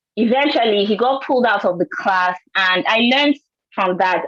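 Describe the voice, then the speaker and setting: A woman with a Nigerian accent and a fairly high voice speaks at a moderate pace with lively intonation. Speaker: scientist and teacher. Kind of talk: panel discussion.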